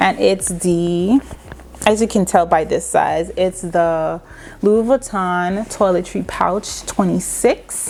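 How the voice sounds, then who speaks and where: A woman speaks at a very slow pace with very even loudness. Noticeable background noise runs underneath. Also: medium pitch for a woman, ordinary pitch variation. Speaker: fashion and beauty vlogger. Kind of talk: casual product review vlog. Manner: loud, projecting voice.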